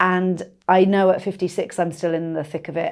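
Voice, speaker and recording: A woman speaks fairly low in pitch on a very clean recording with a silent background. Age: 50s. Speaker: stand-up comedian. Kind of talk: casual chat. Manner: animated.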